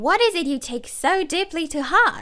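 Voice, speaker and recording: Putting on a character voice, a woman speaks at a moderate pace in a squeaky, extremely high pitch. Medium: read story. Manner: sly, wheedling.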